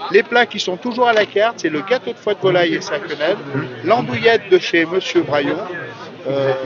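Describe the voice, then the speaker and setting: With noticeable background noise, a high-pitched man speaks at a moderate pace. His pitch swings very widely, and he leaves long, frequent pauses. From France, Beaujolais. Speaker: restaurant chef. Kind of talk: interview at outdoor festival.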